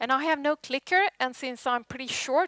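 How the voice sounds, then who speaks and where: This woman has a Swedish accent and a bright, sharp tone at a moderate pace. The sound is dry and close with no echo, on a very clean recording with a silent background. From Sweden. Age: 40s. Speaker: tech conference speaker. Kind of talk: conference presentation. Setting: stage with audience.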